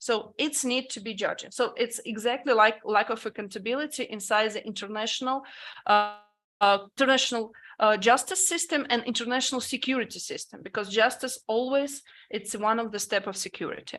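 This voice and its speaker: The voice has a bright, sharp tone, moving at a fairly quick pace with ordinary pitch variation. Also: woman, fairly high pitch for a woman. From Ukraine. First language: Ukrainian or Russian. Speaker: panelist. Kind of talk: panel discussion. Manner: halting.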